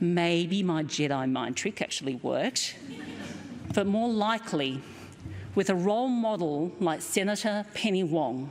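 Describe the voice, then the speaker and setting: With a strong Australian accent, a woman at a medium pitch speaks at a fairly slow pace, her intonation lively and her loudness very even, with audible room echo. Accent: broad Australian. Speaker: keynote speaker, company director. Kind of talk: lecture.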